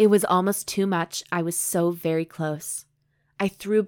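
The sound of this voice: In a quiet setting, the text is read in an unforced reading voice with fairly even intonation.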